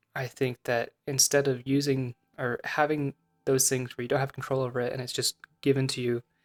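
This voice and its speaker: A man's flat, monotone voice at medium pitch and moderate pace, with music in the background. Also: long, frequent pauses. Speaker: vlogger. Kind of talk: personal reflection monologue. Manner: halting.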